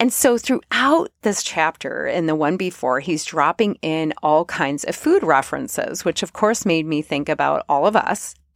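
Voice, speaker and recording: Recorded very cleanly with a silent background and a dry, close sound with no echo, a woman with an ordinary speaking voice talks in a fairly low pitch at a moderate pace, with lively intonation and hardly any pauses. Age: 40s. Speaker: podcast host. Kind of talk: solo podcast monologue.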